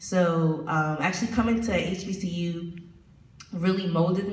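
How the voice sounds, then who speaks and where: Noticeable background noise and audible room echo surround the recording. A woman talks in a fairly low pitch. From US South, moved from New York in sixth grade. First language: Spanish. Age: 20s. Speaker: college student. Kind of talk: panel discussion.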